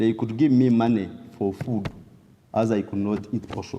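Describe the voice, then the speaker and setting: A man at a moderate pace, with a western Ugandan accent. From southwestern Uganda (Ntungamo). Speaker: testimony speaker. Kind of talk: testimony.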